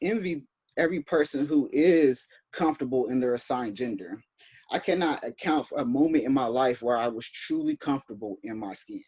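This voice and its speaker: Pitch swings very widely in this man's fairly high voice. He talks at a fairly quick pace. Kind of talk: personal testimony. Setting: video call.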